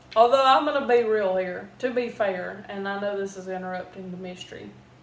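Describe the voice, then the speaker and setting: Over noticeable background noise, a woman with an American accent talks at a fairly quick pace, her medium pitch showing ordinary variation. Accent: Southern US, thicker when drinking. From US South. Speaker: video host. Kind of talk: reading aloud.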